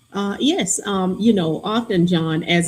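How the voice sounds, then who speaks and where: A woman with a Southern US accent speaks in a fairly low, somewhat breathy voice. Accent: polished Southern drawl. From US South, Alabama (Greenville, Butler County). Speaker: county chief executive. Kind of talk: podcast interview.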